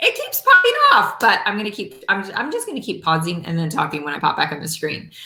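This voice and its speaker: A woman talking at a very fast pace with hardly any pauses, an animated tone and big swings in loudness, over noticeable background noise. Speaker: network marketing leader and motivational speaker. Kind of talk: motivational talk.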